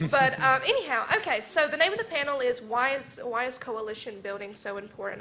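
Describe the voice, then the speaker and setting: Noticeable background noise accompanies a woman with a Southern US accent. She talks at a fairly quick pace in a high pitch. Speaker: panel moderator. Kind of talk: panel moderation.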